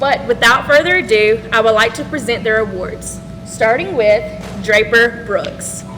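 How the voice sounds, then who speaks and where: A woman at a fairly high pitch and a fairly slow pace, with music in the background. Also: ordinary pitch variation. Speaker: teacher. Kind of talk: ceremony speech. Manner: loud.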